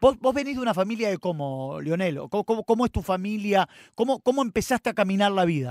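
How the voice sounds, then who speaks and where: In a quiet, dry recording with no echo, a man with a high pitch talks at a very fast pace with lively intonation. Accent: Rioplatense. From Argentina. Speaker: radio host. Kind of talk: radio interview. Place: studio.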